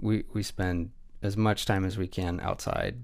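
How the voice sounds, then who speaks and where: On a very clean recording with a silent background, a man talks with a West Coast accent. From US Pacific Northwest, Pierce County, Washington. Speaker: photographer and videographer. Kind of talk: casual interview. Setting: studio.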